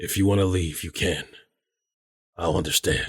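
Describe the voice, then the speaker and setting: In a put-on character voice, a man speaks very deep, low and raspy at a moderate pace on a very clean recording with a silent background. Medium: audio drama.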